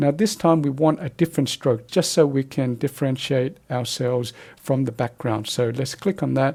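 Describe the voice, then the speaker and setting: With a dark, mellow tone, the somewhat breathy voice runs at a moderate pace with hardly any pauses. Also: man, fairly high pitch for a man, ordinary pitch variation. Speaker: photoshop tutorial presenter. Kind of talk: tutorial.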